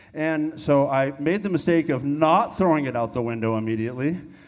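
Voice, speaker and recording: The intonation is lively. Audible room echo surrounds the voice. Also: man. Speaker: punk band guitarist. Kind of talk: onstage storytelling at memorial. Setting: stage with audience in theater. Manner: casual, animated.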